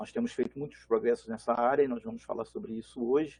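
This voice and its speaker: A man talks in a fairly high pitch. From Brazil, Belo Horizonte (born Rio de Janeiro). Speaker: genealogy organization manager. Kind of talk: panel talk.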